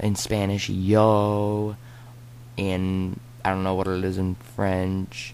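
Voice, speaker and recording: With audible room echo, a man speaks at a very slow pace in a very deep, low pitch. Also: ordinary pitch variation. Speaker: gaming YouTuber. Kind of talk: let's play commentary. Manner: rambling, fidgety.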